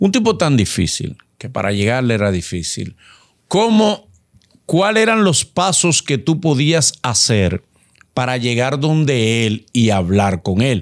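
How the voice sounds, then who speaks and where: A man speaks fairly slowly, his pitch swinging very widely. The background is quiet. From Dominican Republic. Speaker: co-host; podcast host. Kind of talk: interview. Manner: animated. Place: studio. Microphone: studio mic.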